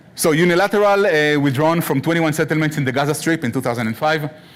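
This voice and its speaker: A man with a fairly high pitch talks at a very fast pace. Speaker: guest lecturer. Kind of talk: lecture.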